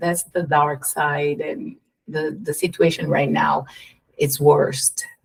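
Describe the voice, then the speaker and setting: A very slow pace with a Brazilian accent. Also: woman. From Curitiba, Brazil. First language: Portuguese. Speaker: behavioral therapist, DJ, world traveler. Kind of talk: podcast interview answer.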